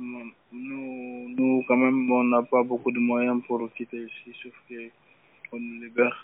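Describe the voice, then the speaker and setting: Amid noticeable background noise, a man talks at a very slow pace in a medium pitch with monotone, flat intonation. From Guinea. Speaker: detainee in immigration detention centre. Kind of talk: phone interview. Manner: halting.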